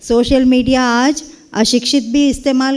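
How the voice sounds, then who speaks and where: A woman's high-pitched voice with a Kannada accent. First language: Kannada (speaking Hindi). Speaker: Hindi professor. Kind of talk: speech at a university event.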